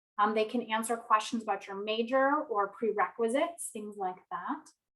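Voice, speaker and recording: A woman's fairly high, ordinary speaking voice at a moderate pace, with ordinary pitch variation and big swings in loudness. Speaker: university staff presenter. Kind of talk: orientation presentation.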